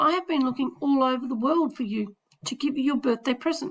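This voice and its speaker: A woman uses a put-on character voice that is raspy and high. She talks at a fairly quick pace. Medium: read story.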